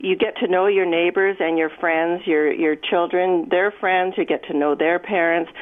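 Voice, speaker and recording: A woman's fairly low-pitched voice in a Canadian accent, a normal speaking voice, at a moderate pace. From Edmonton, Canada. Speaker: longtime resident. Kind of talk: radio interview. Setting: phone call.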